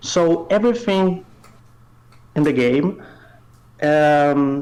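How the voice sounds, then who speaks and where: Speaking at a very slow pace, a man with a Brazilian accent uses a fairly high pitch and ordinary pitch variation. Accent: Brazilian, non-native English. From North Brazil. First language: Portuguese. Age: 20s. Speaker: indie game developer. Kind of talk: interview. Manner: hesitant, many fillers.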